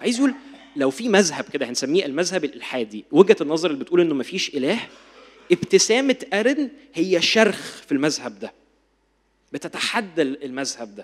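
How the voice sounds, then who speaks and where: A man with a high pitch lets it swing very widely as he speaks. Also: moderate pace, big swings in loudness. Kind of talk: lecture.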